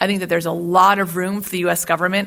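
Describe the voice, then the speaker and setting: A woman with an American accent, fairly low pitch, vocal fry and a bright, sharp tone. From US Great Lakes region. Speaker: policy expert. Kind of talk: invited talk. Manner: fast.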